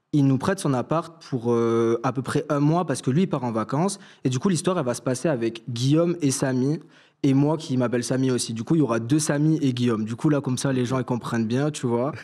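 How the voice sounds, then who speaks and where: A man talks at a fairly quick clip in a dark, mellow tone with ordinary pitch variation. The recording is very clean, the background silent. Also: medium pitch for a man. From southern France, Toulouse area. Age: 20s. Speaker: fashion student, story caller. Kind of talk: personal storytelling on live stream. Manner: casual, hesitant with many fillers.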